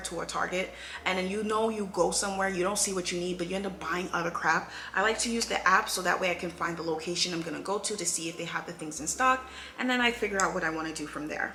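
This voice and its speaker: A woman at medium pitch talks at a very fast pace with ordinary pitch variation. Noticeable background noise and audible room echo come through. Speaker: YouTuber. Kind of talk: casual vlog monologue.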